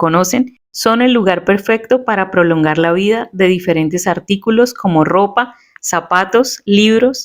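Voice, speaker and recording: With an ordinary speaking voice, a woman at medium pitch talks at a fairly slow pace with ordinary pitch variation. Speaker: podcast host, journalist. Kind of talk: podcast narration.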